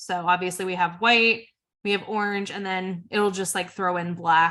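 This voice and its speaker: A woman's bright, sharp voice at a medium pitch. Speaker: social media trainer. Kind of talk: webinar tutorial. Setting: online webinar. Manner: casual, filler-heavy.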